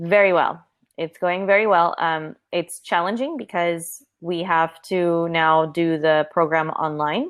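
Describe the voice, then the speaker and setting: With an American accent, a woman has an ordinary speaking voice, a fairly low pitch and fairly even intonation at a fairly slow pace. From California, US. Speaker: online English tutor. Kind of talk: casual chat.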